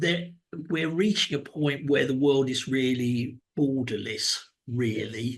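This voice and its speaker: Taking a fairly slow pace, a man talks with a southern English accent. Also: medium pitch for a man, ordinary pitch variation. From England (London, then Cambridge). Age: 60s. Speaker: business executive and mentor. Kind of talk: interview. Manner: halting, many repeated words.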